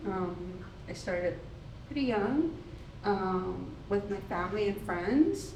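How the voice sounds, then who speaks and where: A lively, up-and-down delivery in a room with audible echo and noticeable background noise. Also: woman. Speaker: photographer, exhibiting artist. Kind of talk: panel discussion at artist talk. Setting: gallery talk with audience, microphone.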